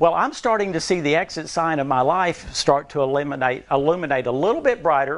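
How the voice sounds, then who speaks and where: At a fairly quick pace, a man talks in an ordinary speaking voice with fairly high pitch and ordinary pitch variation. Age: 60s. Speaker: nutrition speaker. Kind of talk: talk to an audience.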